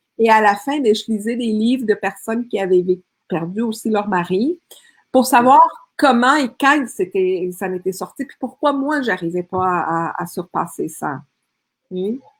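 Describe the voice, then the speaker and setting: Speaking at a fairly slow pace, a woman uses a fairly high voice with lively intonation. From Colombia. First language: Spanish (speaking French). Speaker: speaker and women's coach. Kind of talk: interview testimony.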